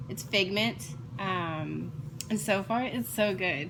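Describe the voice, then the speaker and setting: With audible room echo and noticeable background noise, a woman's voice makes very wide pitch swings. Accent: American. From South Texas, Corpus Christi. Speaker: crafting vlogger. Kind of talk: casual chat. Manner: hesitant fillers.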